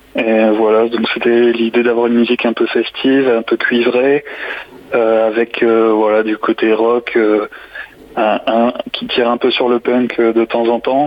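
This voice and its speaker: Against noticeable background noise, a man talks at a fairly slow pace with monotone, flat intonation. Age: 20s. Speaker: saxophonist. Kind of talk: radio interview. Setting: phone call.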